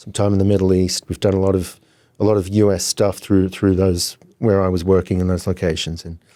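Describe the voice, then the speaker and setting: Talking at a fairly quick pace, a man with an Australian accent has a very deep, low pitch, a dark, mellow tone and monotone, flat intonation. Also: very clean recording, silent background. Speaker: software founder, former charter broker. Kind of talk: podcast interview.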